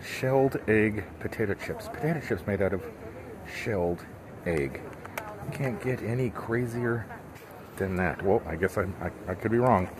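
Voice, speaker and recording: Noticeable background noise fills the long, frequent pauses in a man's speech. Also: fairly low pitch for a man, fairly slow pace. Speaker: solo traveler vlogger. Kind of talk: casual vlog chat. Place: hall. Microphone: headset.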